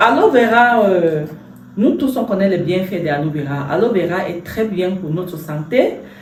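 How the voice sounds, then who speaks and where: A woman talks at a fairly slow pace and medium pitch with lively intonation. Noticeable background noise and audible room echo are present. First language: English (speaking French). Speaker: entrepreneur and health product seller. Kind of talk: product presentation. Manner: halting, many hesitations.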